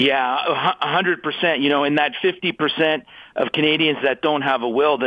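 A man with a normal speaking voice talks at a fairly slow pace and a fairly high pitch, his intonation fairly even. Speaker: estate planning expert. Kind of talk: interview.

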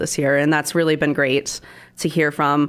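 A woman speaks at a very fast pace with an American accent. Her pitch is very deep and low, and the recording is very clean with a silent background. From Nebraska, US Midwest. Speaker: political candidate. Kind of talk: radio interview. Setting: studio.

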